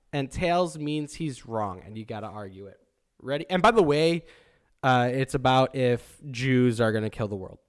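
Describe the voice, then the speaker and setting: A man with a normal speaking voice talks at a medium pitch and a moderate pace, with lively intonation and big swings in loudness. The recording is very clean with a silent background. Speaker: podcast co-host. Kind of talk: casual chat.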